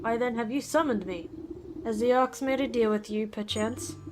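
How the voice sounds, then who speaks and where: A woman's wheezy, put-on character voice, fairly high in pitch, at a moderate pace over clear background noise. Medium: game stream. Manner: pompous.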